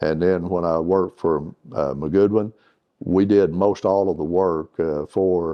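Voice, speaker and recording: A man speaks at a fairly slow pace in a very deep, low pitch. His intonation stays fairly even. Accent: Arkansas. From Northeast Arkansas. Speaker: retired water utility executive. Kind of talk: oral history interview. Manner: halting, with many fillers.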